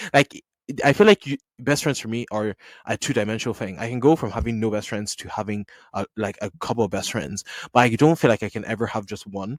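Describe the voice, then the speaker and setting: On a very clean recording with a silent background, a man talks at a very fast pace with big swings in loudness. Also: medium pitch for a man, ordinary pitch variation, dry, close sound with no echo. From Nigerian household, mixed background. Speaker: podcast host. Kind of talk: casual solo podcast chat. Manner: chatty, relaxed.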